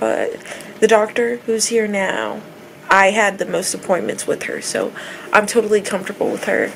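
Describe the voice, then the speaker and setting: Light background noise sits behind the recording. Over it, a woman speaks at a moderate pace. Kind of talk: casual vlog chat. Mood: relaxed, chatty. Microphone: phone near.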